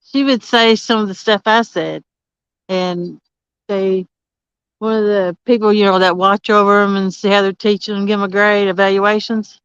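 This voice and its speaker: A woman mumbles in a strong Southern US accent. Her intonation stays fairly even. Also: dry, close sound with no echo. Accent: strong country Southern. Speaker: livestream host. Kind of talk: casual chat. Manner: mumbling; slow and loud on purpose.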